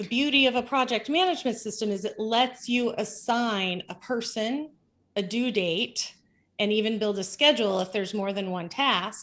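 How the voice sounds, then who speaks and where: At a moderate pace, a woman with a fairly high pitch and ordinary pitch variation speaks in a plain, everyday voice. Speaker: business consultant. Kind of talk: interview.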